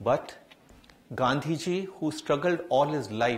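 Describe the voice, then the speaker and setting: The man's somewhat breathy voice moves at a fairly slow pace. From India. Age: 50s. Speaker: diplomat; guest lecturer. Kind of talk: lecture. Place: hall. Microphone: headset.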